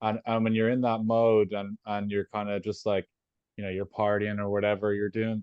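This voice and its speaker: A man in an Irish accent speaks at a medium pitch and moderate pace, with a dry, close sound with no echo and a quiet background. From Ireland. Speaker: interviewer. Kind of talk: casual interview chat.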